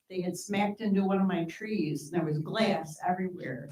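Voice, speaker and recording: A woman's somewhat breathy voice holds fairly even intonation. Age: 70s. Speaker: local resident. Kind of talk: public comment at meeting. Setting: legislative board meeting. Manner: halting.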